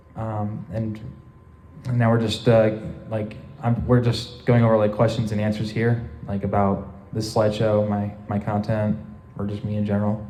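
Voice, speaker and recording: The voice carries monotone, flat intonation amid audible room echo. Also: man, fairly low pitch for a man, moderate pace. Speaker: convention panel presenter. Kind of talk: convention panel Q&A. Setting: convention panel room with audience. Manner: halting, many fillers.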